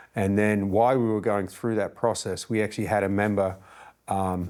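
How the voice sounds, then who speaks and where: Monotone, flat delivery at a moderate pace on a very clean recording with a silent background. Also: man. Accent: Australian. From Australia. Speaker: fire chief. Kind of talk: interview podcast. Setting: studio, sitting across the table.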